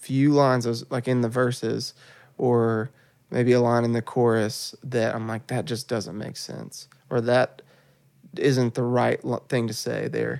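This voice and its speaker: With a Southern US accent, the speaker talks at a fairly slow pace in a monotone, flat intonation. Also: man. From West Tennessee (Paris). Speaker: church worship leader. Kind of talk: casual interview.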